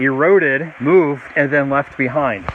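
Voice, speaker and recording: A man at a fairly high pitch amid noticeable background noise. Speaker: teacher. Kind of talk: outdoor educational video lesson. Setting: outdoors by a waterfall. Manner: loud, projecting over the water; casual, with many fillers.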